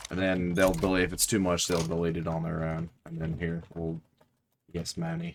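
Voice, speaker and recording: With a very deep, low pitch, a man speaks in a monotone, flat intonation. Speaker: gaming YouTuber. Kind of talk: casual gameplay commentary. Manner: casual, joking.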